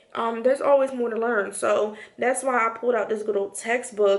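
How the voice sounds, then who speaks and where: The woman's intonation is monotone and flat, delivered at a moderate pace. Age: 20s. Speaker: nurse and nurse practitioner student vlogger. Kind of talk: casual vlog talk. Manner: casual, conversational.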